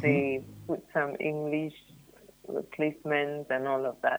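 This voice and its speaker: The delivery is monotone and flat in intonation at a fairly slow pace. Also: woman. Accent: Ghanaian. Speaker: youth development trainer. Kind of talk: radio interview discussion. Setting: radio studio.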